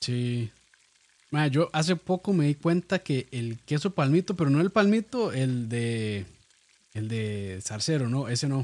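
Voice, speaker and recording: In a Costa Rican accent, a man speaks with very wide pitch swings, recorded with a dry, close sound with no echo. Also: medium pitch for a man, fairly slow pace. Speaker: podcast host and cooking video creator. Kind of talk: casual chat.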